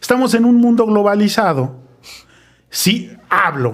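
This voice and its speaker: The intonation is lively in this man's speech. He keeps a moderate speed. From Mexico City (Colonia Roma). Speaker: podcast host. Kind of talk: casual chat.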